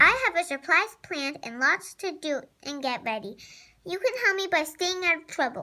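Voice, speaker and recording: A woman in a put-on character voice, squeaky and extremely high-pitched, at a moderate pace. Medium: read story.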